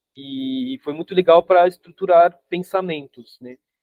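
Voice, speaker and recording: In a French accent, a man speaks. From France. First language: French (speaking Portuguese). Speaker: urban geographer, book co-author. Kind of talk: casual talk in study group. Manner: halting, many fillers and repetitions.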